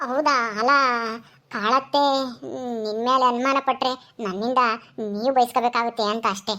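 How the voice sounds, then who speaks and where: A woman puts on a character voice with a high pitch, fairly even intonation and a fairly slow pace. The recording is very clean, with a silent background. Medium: audio drama. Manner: gentle, grateful.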